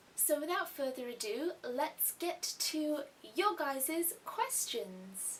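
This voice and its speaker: In an English accent, a woman talks at a very slow pace and high pitch, her voice making very wide pitch swings. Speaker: YouTube artist vlogger. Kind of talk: casual vlog Q&A.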